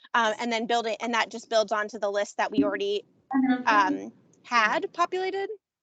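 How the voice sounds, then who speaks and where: A woman's fairly high voice with lively intonation, in a dry, close sound with no echo. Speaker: commission member organizing an event. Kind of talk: public meeting discussion. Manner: fast; hesitant, many fillers.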